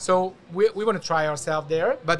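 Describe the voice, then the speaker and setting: A man with a Hungarian accent speaks over music in the background. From Hungary. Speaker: event agency founder. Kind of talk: casual interview. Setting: event show studio booth.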